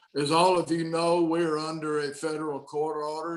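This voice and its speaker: A man with a Southern US accent, fairly high in pitch, monotone and flat, at a moderate pace. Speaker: state senator. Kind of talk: policy briefing. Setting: video call.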